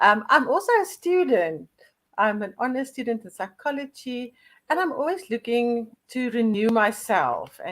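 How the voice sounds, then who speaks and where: Using a plain, everyday voice, a woman speaks at a fairly high pitch and moderate pace with lively intonation. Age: 60s. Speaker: storyteller. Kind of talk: interview.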